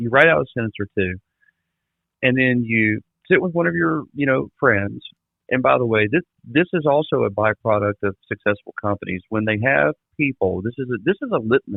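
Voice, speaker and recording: Speaking at a moderate pace with a Mississippi accent, a man uses a fairly low pitch and lively intonation. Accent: Southern US (Mississippi). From US South, south Mississippi. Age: 40s. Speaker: trade industry trainer. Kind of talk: podcast interview. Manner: animated.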